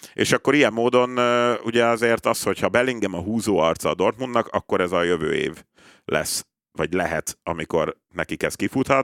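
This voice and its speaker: A man speaks with a normal speaking voice at a fairly low pitch and with ordinary pitch variation. His pace is moderate, and the sound is dry and close with no echo. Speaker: football pundit. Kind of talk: casual chat. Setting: studio.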